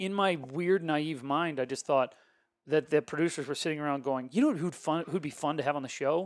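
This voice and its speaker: In a very clean recording with a silent background, a man with a fairly high pitch speaks at a fairly quick pace in an animated tone, with ordinary pitch variation. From Ohio, US Midwest. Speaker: podcast host and pastor. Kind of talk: casual interview, being interviewed.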